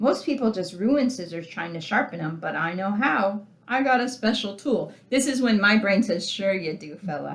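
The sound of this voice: The speaker reads in an unforced reading voice with lively intonation.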